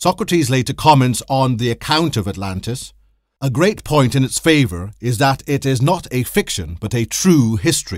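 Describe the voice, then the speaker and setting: Medium pitch from a man, swinging very widely, in a very clean recording with a silent background. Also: moderate pace. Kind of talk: history documentary narration. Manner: formal, measured; even, authoritative storytelling.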